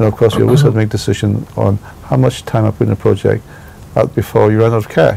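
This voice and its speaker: Very fast speech over noticeable background noise. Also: man. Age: 60s. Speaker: architect. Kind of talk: interview. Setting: his office. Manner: hesitant, many fillers.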